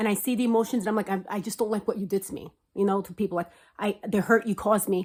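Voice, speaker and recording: A woman speaks at a very fast pace in a fairly high, somewhat breathy voice. The recording is very clean with a silent background. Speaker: manifestation vlogger. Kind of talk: casual monologue.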